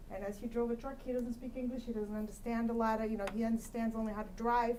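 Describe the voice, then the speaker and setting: A woman speaks at a fairly high pitch with a Russian accent, with audible room echo. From Kyrgyzstan. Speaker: commission applicant, accountant. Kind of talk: interview answer at public meeting. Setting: city council meeting room.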